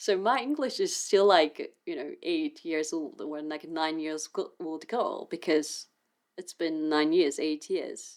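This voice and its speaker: A woman with a Japanese accent speaks at a very slow pace, her loudness swinging widely. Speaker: artist and video creator. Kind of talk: unscripted casual chat to camera. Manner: halting, with self-corrections.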